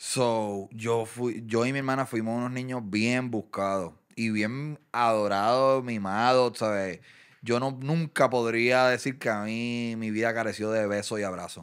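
The speaker's intonation is fairly even over a quiet background. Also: man. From Puerto Rico. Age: 30s. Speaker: content creator and boxing event promoter; content creator. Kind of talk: casual interview chat. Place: studio. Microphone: studio mic.

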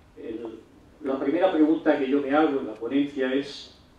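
A man's voice with a fairly high pitch. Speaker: law professor. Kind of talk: lecture. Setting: stage with audience.

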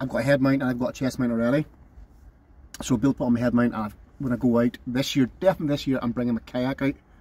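A man at a very fast pace, fairly even in intonation, with a dry sound and no echo. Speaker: van camping vlogger. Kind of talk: casual vlog chat.

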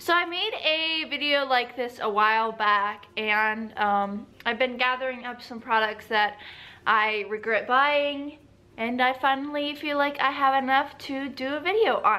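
With an American accent, a woman uses a raised, projected voice at a high pitch and a fairly slow pace. Her tone is bright and sharp. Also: ordinary pitch variation. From United States. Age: young. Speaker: beauty vlogger. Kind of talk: casual talk to camera. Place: home room. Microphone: phone near.

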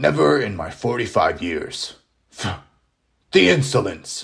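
A man puts on a character voice, raspy and fairly low. He speaks very slowly with lively intonation. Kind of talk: comic overacting. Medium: puppet show. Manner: blustering, pompous, commanding.

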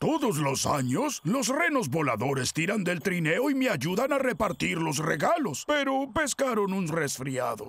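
Using a cartoonish character voice, a man speaks at a moderate pace with a high pitch, very wide pitch swings, very even loudness and hardly any pauses. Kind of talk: cartoon dub acting.

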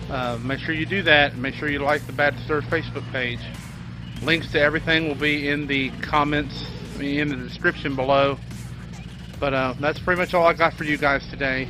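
Over faint background music, a man speaks fairly quickly in a monotone, flat way. The sound is dry with no echo. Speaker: car parts vlogger. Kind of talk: casual vlog outro. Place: street. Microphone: phone near.

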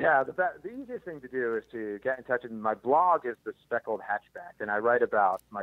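A man's ordinary speaking voice, fairly quick in pace and medium in pitch. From US Northeast, Philadelphia. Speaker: birder and bird photographer, former scientist. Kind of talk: casual interview chat.

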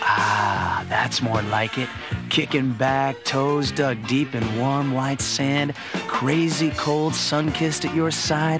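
A man speaking at a very slow pace over clear music in the background. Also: dry sound with no echo. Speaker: voice actor. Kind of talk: TV commercial read. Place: studio.

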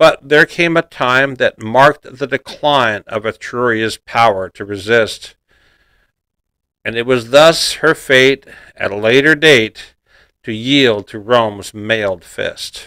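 Against a quiet background, a man speaks very slowly at a medium pitch with ordinary pitch variation. His tone is bright and sharp, and the sound is dry with no echo. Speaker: poetry narrator. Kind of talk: poetry reading. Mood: measured, steady recitation.

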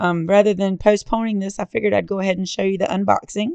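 A woman speaks at a very fast pace in a dark, mellow tone. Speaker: card-making crafter. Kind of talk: product unboxing tutorial.

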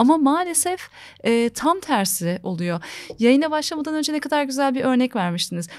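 Against a quiet background, a woman talks at a moderate pace with a high pitch and very wide pitch swings. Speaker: channel host interviewing a psychologist; conversation host or guest. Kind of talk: interview conversation. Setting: recorded video interview. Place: studio. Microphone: studio mic.

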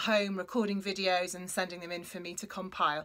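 The background is quiet. A woman speaks at a fairly quick pace. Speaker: school music teacher. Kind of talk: welcome speech. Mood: warm, upbeat. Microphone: phone near.

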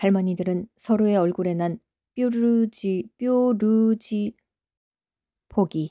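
A woman's dark, mellow voice at a very slow pace, with long, frequent pauses and fairly even intonation, on a very clean recording with a silent background. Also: medium pitch for a woman, dry, close sound with no echo. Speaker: novel reader. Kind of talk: novel reading blooper.

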